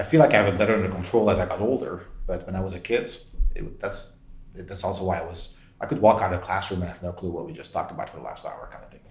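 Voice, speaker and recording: In a room with audible echo, a man talks very fast while his loudness swings widely. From Belgium. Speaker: tech executive. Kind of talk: interview.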